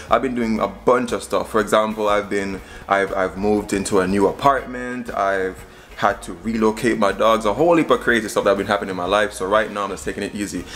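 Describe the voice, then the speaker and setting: A man talks at a very fast pace with fairly even intonation and a fairly low pitch. Light background noise can be heard. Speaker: cooking vlogger. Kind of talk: casual vlog chat. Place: kitchen. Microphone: phone near.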